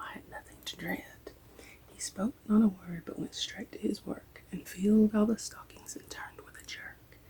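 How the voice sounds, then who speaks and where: Someone whispers with an American accent. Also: woman. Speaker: ASMR reader. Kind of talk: ASMR story reading. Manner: soft-spoken.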